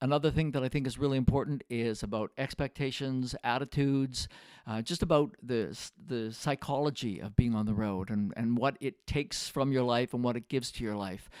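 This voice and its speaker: A man's normal speaking voice at medium pitch, fairly quick with hardly any pauses and ordinary pitch variation, in a very clean, dry, close recording with no echo and a silent background. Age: 60s. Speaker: retired professional musician, video creator. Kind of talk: casual monologue to camera. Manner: relaxed, many filler words.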